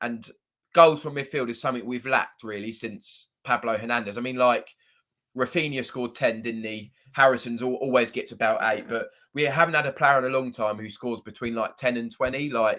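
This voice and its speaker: Recorded very cleanly with a silent background, a man with a strong southern English accent speaks fairly quickly at a medium pitch, his tone bright and sharp and his intonation fairly even. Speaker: football fan YouTuber. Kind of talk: live stream chat. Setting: live stream. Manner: casual, hesitant with fillers.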